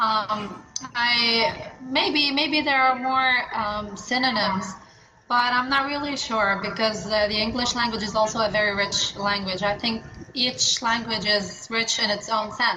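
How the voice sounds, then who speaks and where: With audible room echo and noticeable background noise, a woman speaks at a fairly slow pace in a fairly high pitch. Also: ordinary pitch variation. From Lebanon (born in Morocco, moved at about 9-10). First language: Arabic. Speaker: translator and agency founder. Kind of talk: interview.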